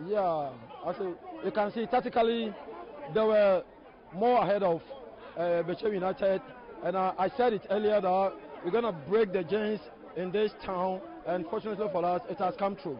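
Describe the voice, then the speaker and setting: High-pitched male speech at a moderate pace with ordinary pitch variation and long, frequent pauses, dry with no echo, over light background noise. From Ghana. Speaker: football coach. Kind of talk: post-match interview. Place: stadium.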